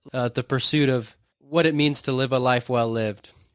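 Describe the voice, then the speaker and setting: This man speaks with ordinary pitch variation. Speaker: podcast host. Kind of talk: casual interview; scripted podcast intro. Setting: in person with hard-of-hearing grandfather. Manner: loud, near yelling.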